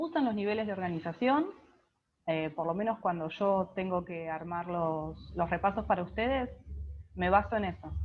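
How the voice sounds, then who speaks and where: This woman speaks at a moderate pace, somewhat breathy, with lively intonation. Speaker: biology tutor. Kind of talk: online class.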